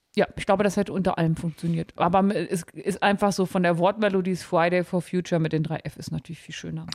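The speech comes very fast in a monotone, flat intonation, with a dry, close sound and no echo. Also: woman, fairly low pitch for a woman. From Harz, Germany. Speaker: podcast guest. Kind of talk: casual chat.

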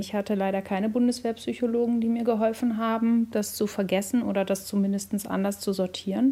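A woman talks fairly quickly in a somewhat breathy voice with monotone, flat intonation. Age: 40s. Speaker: former health office employee, whistleblower. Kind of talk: interview.

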